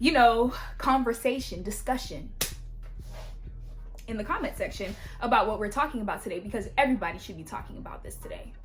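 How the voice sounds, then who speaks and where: A woman with an American accent speaks very fast in an animated tone, with long, frequent pauses and big swings in loudness, amid audible room echo and noticeable background noise. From US, Haitian American. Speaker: YouTube vlogger. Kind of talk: opinion vlog monologue.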